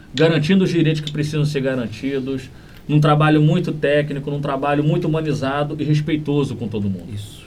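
Audible room echo around a man's fairly high voice, ordinary in its pitch variation and moderate in pace. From Brazil, Niterói (Rio de Janeiro state). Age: 30s. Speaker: municipal human rights secretary, lawyer. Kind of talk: interview.

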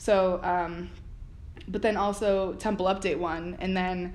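A woman talks with fairly even intonation in an American accent. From South Florida, Miramar. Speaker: student TV producer and director. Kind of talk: casual interview. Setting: college building. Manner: hesitant with many fillers.

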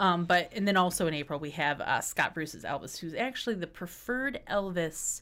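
In a normal speaking voice with an American accent, a woman talks at a fairly quick pace and fairly low pitch, captured on a very clean recording with a silent background. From West Michigan. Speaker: arts center managing director. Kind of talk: casual interview chat.

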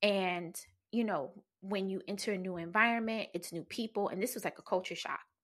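A woman with an American accent has a plain, everyday voice at a medium pitch, with ordinary pitch variation. She speaks at a fairly quick pace in a very clean recording with a silent background. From New Jersey. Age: 40s. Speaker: podcast host, pleasure practitioner. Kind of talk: personal storytelling monologue. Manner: casual, frequent laughter.

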